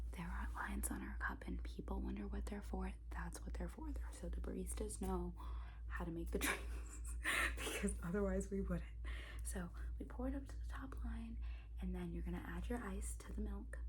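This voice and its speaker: A soft-spoken woman with a very deep, low pitch talks at a moderate pace in a monotone, flat intonation, with noticeable background noise behind her. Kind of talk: ASMR cafe roleplay, barista training a new hire. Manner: soft-spoken, casual, a bit sassy.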